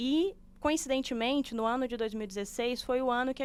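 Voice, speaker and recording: A woman speaks at a fairly quick pace with a Belo Horizonte accent on a very clean recording with a silent background. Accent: Belo Horizonte (mineiro). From Brazil, Belo Horizonte (Minas Gerais). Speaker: sustainability manager, civil engineer. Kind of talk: podcast interview.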